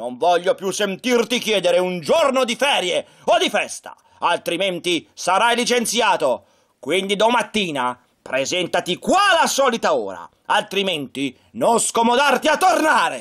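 A man shouts in a put-on, gruff character voice pitched high. He keeps a moderate pace. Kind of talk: puppet show acting for children. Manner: gruff, scolding, shouting.

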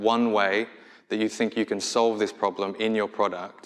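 Against a quiet background, a man with an Australian accent speaks at a moderate pace in a fairly low pitch. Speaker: product designer; conference speaker. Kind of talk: conference talk. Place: stage.

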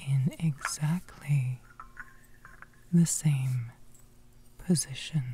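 A very slow pace broken by long, frequent pauses. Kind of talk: ASMR guided imagery narration. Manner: whispered.

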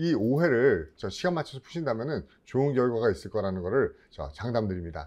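At a moderate pace, a man with a dark, mellow tone makes very wide pitch swings over a quiet background. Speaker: exam prep instructor. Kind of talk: lecture. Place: studio. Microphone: lapel.

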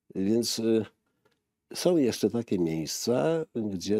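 A man's dark, mellow voice at a very slow pace, dry with no echo, over a quiet background. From eastern Poland, Lublin region. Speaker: graphic artist and linocut printmaker. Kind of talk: casual interview.

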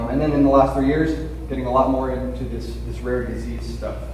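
A man with an American accent talks at a fairly quick pace, with audible room echo and noticeable background noise. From US West Coast (Los Angeles). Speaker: patient advocate speaker. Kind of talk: conference presentation. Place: hall. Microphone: camera far.

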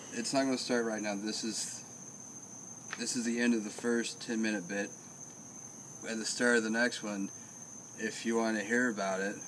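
Monotone, flat intonation with long, frequent pauses over light background noise. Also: man, moderate pace. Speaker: vlogger. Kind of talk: casual vlog chat. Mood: joking, rambling. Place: street. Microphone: phone near.

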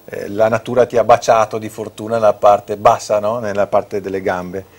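Speaking at a moderate pace, a man uses a fairly low voice with monotone, flat intonation. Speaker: TV show host. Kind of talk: casual TV talk show. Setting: TV studio. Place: studio. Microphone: lapel.

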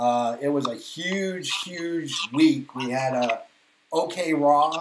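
Over noticeable background noise, a man with a fairly high pitch speaks in a Boston accent. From Boston, Massachusetts, US; Massachusetts. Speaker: podcast host. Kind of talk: casual chat. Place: home room.

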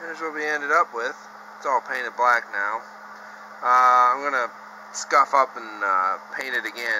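Noticeable background noise sits under speech at a moderate pace with ordinary pitch variation. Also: man. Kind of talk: casual tutorial narration. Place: garage. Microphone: phone near.

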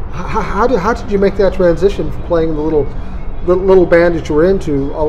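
A man with a high voice talking at a very fast pace, with ordinary pitch variation over light background noise. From US Midwest, South Minneapolis. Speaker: interview show host. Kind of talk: casual interview. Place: cafe.

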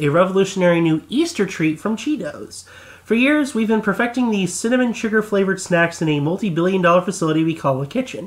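With lively intonation and a high pitch, a man speaks at a very fast pace. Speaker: voice actor; podcast co-host. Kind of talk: reading a letter aloud.

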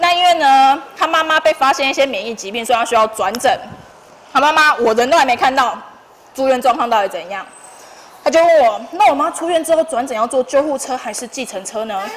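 A woman with a Taiwanese accent and a high pitch speaks at a fairly quick pace with lively intonation over light background noise. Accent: Taiwanese Mandarin. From Tainan, Taiwan. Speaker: long-term care nurse; speaker. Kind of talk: school career talk; classroom talk to students. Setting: classroom with students. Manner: fast talker; casual, humorous. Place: classroom. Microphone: handheld.

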